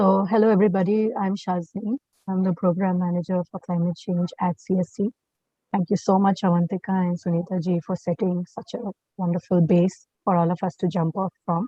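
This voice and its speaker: Fairly quick, somewhat breathy speech in a monotone, flat intonation. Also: woman, medium pitch for a woman. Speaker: climate change program manager. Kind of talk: webinar presentation. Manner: halting, many fillers.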